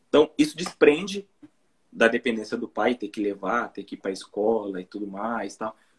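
A man talks at a moderate pace in a normal speaking voice, with big swings in loudness. The sound is dry and close, with no echo. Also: medium pitch for a man, ordinary pitch variation. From interior of São Paulo state, Brazil. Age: 30s. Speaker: YouTuber, Brazilian immigrant in Japan. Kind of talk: casual live-stream interview.

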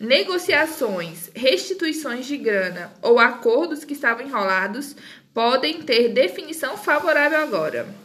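Over noticeable background noise, a high-pitched woman speaks at a fairly slow pace with very wide pitch swings. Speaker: podcaster. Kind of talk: casual chat; reading aloud.

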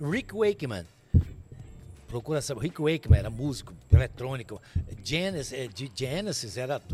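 A somewhat breathy man talks at a moderate pace in a medium pitch, with long, frequent pauses. His pitch swings very widely and his loudness shifts a lot. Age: 60s. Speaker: TV presenter and radio broadcaster. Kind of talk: casual chat.

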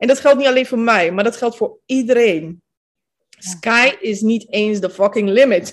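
Using an ordinary speaking voice, a woman talks at fairly high pitch and a fairly slow pace with ordinary pitch variation. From Netherlands, Capelle aan de IJssel (from Bosnia at 10). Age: 30s. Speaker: manifestation coach. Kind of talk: interview.

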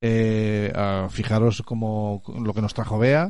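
At a slow pace, a man with a slightly mellow tone speaks at a fairly low pitch and fairly even intonation.

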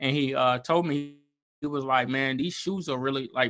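A man with a Southern US accent has a bright, sharp tone, a fairly high pitch and ordinary pitch variation, set against a quiet background. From Alabama, Montgomery. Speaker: small business owner. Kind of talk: casual interview.

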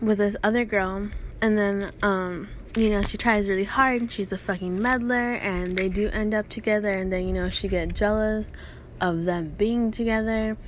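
A woman's medium-pitched voice with fairly even intonation at a moderate pace. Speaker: podcast host. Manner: casual, ranting, heavy profanity.

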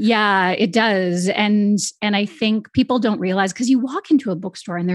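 A woman's medium-pitched voice with ordinary pitch variation, over a quiet background. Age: 40s. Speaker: podcast host and dietitian. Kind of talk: casual interview; scripted narration.

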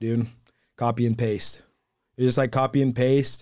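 A dark, mellow tone in monotone, flat intonation at a moderate pace, on a very clean recording with a silent background. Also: man. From southern Utah. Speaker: door-to-door salesman. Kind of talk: casual chat.

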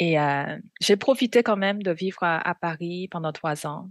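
A woman with a fairly low pitch speaks at a very slow pace with ordinary pitch variation. The sound is dry and close with no echo, over a quiet background. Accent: Korean. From South Korea. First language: Korean (speaking French). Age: 40s. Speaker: missionary. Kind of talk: testimony.

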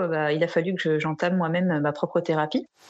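At a moderate pace, a woman speaks in a fairly low pitch with an unremarkable speaking voice. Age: 40s. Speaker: art therapist. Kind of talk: interview.

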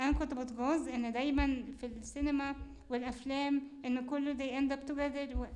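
A woman with a high-pitched voice talks at a moderate pace in a monotone, flat intonation, with audible echo in the room. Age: young. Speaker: university student and show host. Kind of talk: casual interview chat.

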